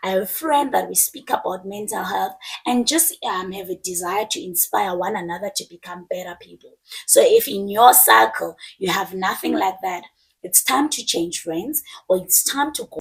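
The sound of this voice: A woman puts on a husky character voice at medium pitch, with very wide pitch swings. She speaks at a moderate pace.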